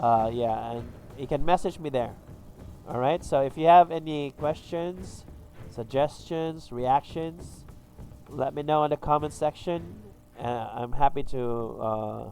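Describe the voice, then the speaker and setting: Music plays behind a man with a fairly high pitch and ordinary pitch variation. He speaks fairly slowly, with long, frequent pauses. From Philippines. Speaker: gaming youtuber. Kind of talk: tutorial. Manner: halting, many fillers.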